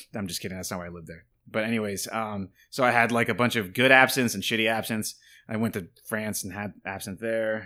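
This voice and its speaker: In a very clean recording with a silent background, a man talks at a very fast pace, his fairly low, bright, sharp voice keeping a fairly even intonation while the loudness swings widely. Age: 30s. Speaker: absinthe distiller and business owner. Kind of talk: casual chat.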